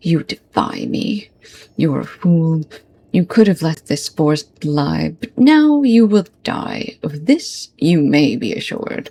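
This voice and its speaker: Using a put-on character voice, a woman speaks at a fairly low pitch and fairly slow pace with very wide pitch swings. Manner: cold, hard, menacing.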